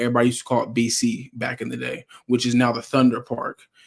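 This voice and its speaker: Here a man speaks in a medium pitch. His pace is fairly quick. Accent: American. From Oklahoma, north Tulsa. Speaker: interview guest. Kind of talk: casual interview. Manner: halting, many fillers.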